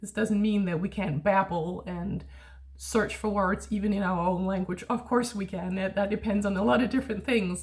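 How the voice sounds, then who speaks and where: A woman with a Danish accent speaks at a moderate pace in a medium pitch. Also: ordinary pitch variation. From Denmark. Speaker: language tutor. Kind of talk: casual educational monologue. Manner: hesitant with fillers.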